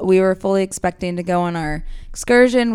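A woman speaks in an ordinary speaking voice at a moderate pace, her pitch fairly low. The recording is very clean, with a silent background. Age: 20s. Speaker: guest, sister of host, incoming law student. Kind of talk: casual chat.

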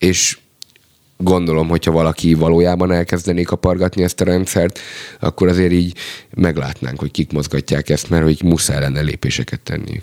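Here a man talks fairly quickly at a very deep, low pitch with a dark, mellow tone. His intonation stays fairly even, and the sound is dry and close with no echo. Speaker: rapper and songwriter. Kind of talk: casual chat.

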